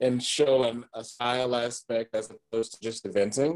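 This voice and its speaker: Recorded dry and close with no echo, a man with an American accent and an unremarkable speaking voice talks at a moderate pace and medium pitch. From US South, Alabama (Tuscaloosa). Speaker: chocolatier and horse competitor. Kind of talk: casual interview.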